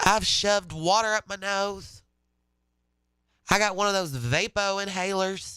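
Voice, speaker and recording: On a very clean recording with a silent background, a man with a high pitch and a bright, sharp tone speaks in a raised, projected voice at a fairly slow pace. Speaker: radio host. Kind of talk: casual chat.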